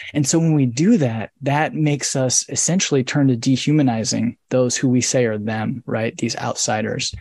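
Here is an ordinary speaking voice: a man with an American accent at a medium pitch, with ordinary pitch variation. He keeps a moderate pace with hardly any pauses. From US Midwest, rural northern Indiana. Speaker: author and scholar. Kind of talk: interview on a live video book club. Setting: video call.

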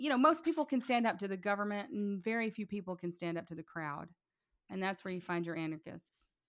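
Very wide pitch swings mark speech at a very fast pace, recorded very cleanly against a silent background. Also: woman, medium pitch for a woman. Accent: Tennessee. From US South, Chattanooga, Tennessee. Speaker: podcaster and political activist. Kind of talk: interview conversation.

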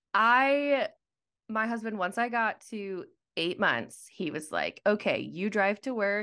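A woman with an American accent speaks in a normal speaking voice at a fairly slow pace, her medium pitch carried by lively intonation on a very clean recording with a silent background. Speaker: mother and content creator. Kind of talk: casual chat.

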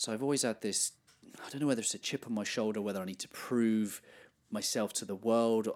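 Speaking with an English accent, a man at medium pitch keeps a fairly quick pace and fairly even intonation. The recording is very clean, with a silent background. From England. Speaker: life coach and podcaster. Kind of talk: interview.

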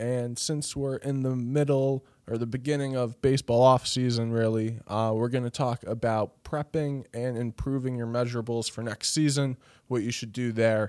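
A medium-pitched male voice in a flat monotone at a moderate pace, with a dry, close sound, no echo, and a very clean recording over a silent background. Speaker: podcast co-host. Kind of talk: casual podcast chat.

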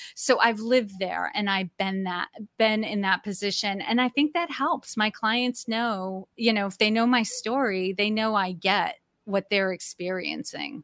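A woman with an American accent has a plain, everyday voice, fairly high in pitch with ordinary pitch variation. She speaks at a fairly slow pace in a very clean recording with a silent background. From Massachusetts, New England. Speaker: executive coach. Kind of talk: interview.

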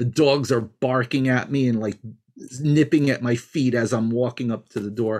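Speaking at a moderate pace, a man uses a plain, everyday voice of medium pitch with ordinary pitch variation. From New York. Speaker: healer and cultural anthropologist. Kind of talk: interview storytelling.

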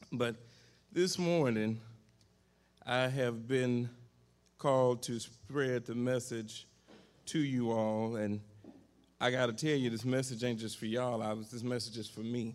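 A man's medium-pitched voice, fairly slow and fairly even in intonation, with long, frequent pauses and audible room echo. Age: 40s. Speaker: pastor. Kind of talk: sermon.

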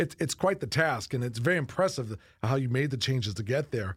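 Somewhat breathy delivery with lively intonation at a fairly quick pace. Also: man. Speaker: college president, podcast host. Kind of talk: interview conversation. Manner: conversational, hesitant with fillers.

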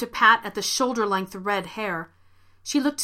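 Pitch varies in an ordinary way. The voice reads aloud in a natural voice.

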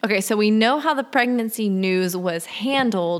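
Speaking at a fairly slow pace, a woman with a fairly high pitch has lively intonation and a normal speaking voice. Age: 20s. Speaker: podcast host. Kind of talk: casual chat.

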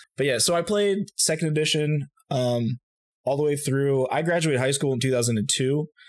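A man with an unremarkable speaking voice and an American accent talks at a moderate pace and fairly high pitch, with ordinary pitch variation, very even loudness and a dry, close sound with no echo. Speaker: game designer. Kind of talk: casual chat.

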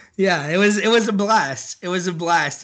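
With a quiet background, a man speaks in a Texan accent with a bright, sharp tone. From Central Texas (near Austin). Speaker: barbecue enthusiast. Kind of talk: casual chat.

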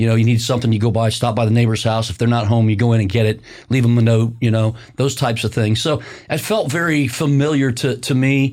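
Very fast speech in an American accent, with very even loudness and fairly even intonation. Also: man, medium pitch for a man. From US Midwest, Indiana (near Bloomington). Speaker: county commissioner and construction business owner. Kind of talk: interview conversation. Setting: studio.

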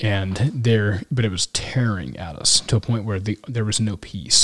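A man with an American accent, fairly low-pitched and somewhat breathy, with ordinary pitch variation, on a dry, close recording with no echo and a very clean, silent background. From Kansas City, US Midwest. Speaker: military pilot. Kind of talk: casual chat. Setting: in person, Yuma, Arizona.

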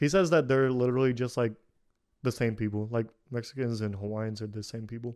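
The speaker has a plain, everyday voice with an American accent. Delivery is at a fairly quick pace with ordinary pitch variation. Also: man, medium pitch for a man. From Kazakhstan, adopted to the US as a child. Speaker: podcast host. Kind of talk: casual chat.

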